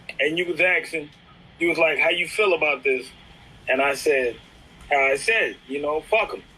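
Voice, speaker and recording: Against noticeable background noise, a man talks at a moderate pace with ordinary pitch variation and long, frequent pauses. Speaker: street talk guest. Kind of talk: casual chat.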